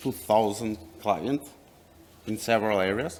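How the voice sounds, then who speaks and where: With a non-native accent, a man speaks at a fairly low pitch using fairly even intonation. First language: not English. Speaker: company representative. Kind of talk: presentation. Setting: workshop with audience. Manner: halting.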